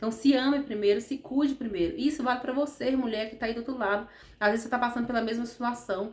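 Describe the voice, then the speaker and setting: Against noticeable background noise, a woman speaks at a high pitch and a very fast pace. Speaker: therapist vlogger. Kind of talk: motivational talk to camera. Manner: animated.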